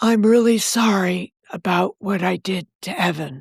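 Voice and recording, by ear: A put-on character voice, female-sounding and raspy. It sits at a middle pitch. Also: moderate pace.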